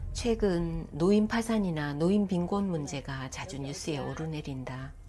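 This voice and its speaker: Over music in the background, a woman with a very deep, low pitch speaks fairly slowly in a calm tone with lively intonation. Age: 50s. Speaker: caregiver of her elderly mother. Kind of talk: vlog voice-over narration. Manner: calm, reflective.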